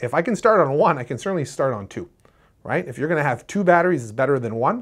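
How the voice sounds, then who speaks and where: A man at a very fast pace, with lively intonation, big swings in loudness and a quiet background. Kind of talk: tutorial. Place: studio.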